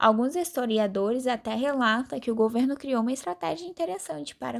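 At a fairly quick pace, a woman speaks in a normal speaking voice with a fairly high pitch on a very clean recording with a silent background. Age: 20s. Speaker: pharmacy student. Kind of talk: scripted school interview presentation.

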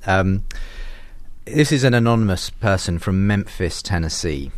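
The speaker has a British accent. The intonation is lively. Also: man. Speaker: podcast host and interviewer. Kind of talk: casual interview chat.

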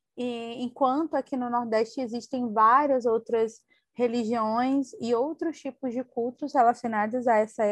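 With fairly even intonation, a woman speaks at a high pitch and a fairly slow pace, the sound dry and close with no echo against a quiet background. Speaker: podcast co-host. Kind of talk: casual book discussion. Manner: hesitant, many fillers.

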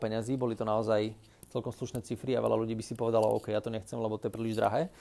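At a very fast pace, a man is speaking. His tone is dark and mellow. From Slovakia, Orava region (Námestovo). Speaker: podcaster, business consultant. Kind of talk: solo podcast monologue. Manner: casual, with filler sounds.

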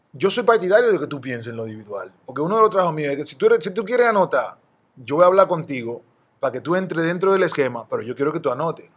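A man speaks at a very fast pace. His high pitch swings very widely. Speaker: retired basketball player. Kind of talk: casual interview.

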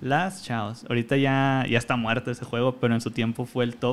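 A man speaks in an unremarkable speaking voice, using a medium pitch, a moderate tempo and fairly even intonation. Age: 20s. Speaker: pro gamer. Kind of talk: casual interview.

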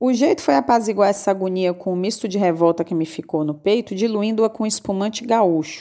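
A woman with a medium pitch and a dark, mellow tone speaks at a fairly quick pace with hardly any pauses and ordinary pitch variation. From Brazil, southern Bahia. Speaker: podcast host, writer. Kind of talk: reading a personal letter aloud.

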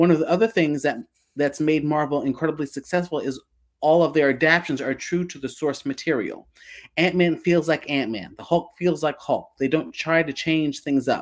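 A man with a plain, everyday voice, fairly high pitch and fairly even intonation. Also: moderate pace. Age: 30s. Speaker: comics podcast co-host. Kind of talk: casual chat. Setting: video call.

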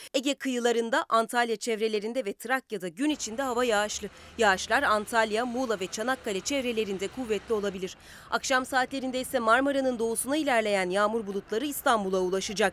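A woman talks in an ordinary speaking voice at a fairly high pitch. Her pace is fairly quick, with ordinary pitch variation and hardly any pauses. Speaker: weather reporter. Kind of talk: news reading.

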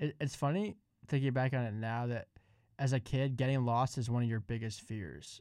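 In a very clean recording with a silent background, a man uses a plain, everyday voice at medium pitch with ordinary pitch variation. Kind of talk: radio DJ patter: jokey ad-read banter, playing the spa-ad sidekick. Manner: bantering, quick, playful.

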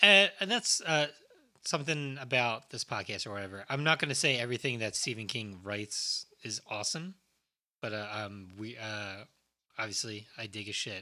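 A man with an ordinary speaking voice, medium in pitch, with ordinary pitch variation at a moderate pace. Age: 30s. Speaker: podcast host. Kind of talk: casual chat.

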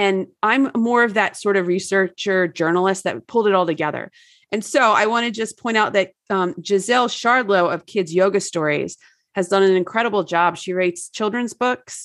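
The speaker uses a normal speaking voice with an American accent, a moderate pace and ordinary pitch variation. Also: woman, medium pitch for a woman. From New Jersey. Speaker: wellness author. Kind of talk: casual interview chat.

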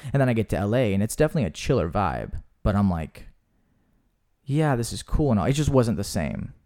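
Recorded very cleanly against a silent background, a speaker with an American accent talks at a fairly quick pace in a dark, mellow tone with vocal fry and very wide pitch swings. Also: man, medium pitch for a man. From US South. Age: 20s. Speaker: actor and podcast host. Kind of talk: casual chat.

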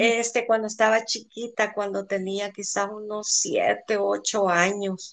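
Speaking at a very slow pace, a woman uses a fairly high pitch. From El Salvador. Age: 60s. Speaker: interviewee, friend's mother. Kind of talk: interview, childhood storytelling. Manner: natural speed.

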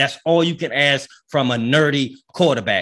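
A man talks at a fairly slow pace with an American accent. The recording is very clean, with a silent background. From US, grew up in housing projects. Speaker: sports podcast co-host, football fan. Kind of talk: casual chat. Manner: animated.

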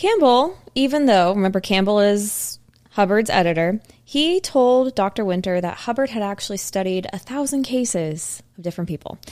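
A woman speaks at a medium pitch with ordinary pitch variation. It is a normal speaking voice. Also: very clean recording, silent background. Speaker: podcast host. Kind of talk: casual chat.

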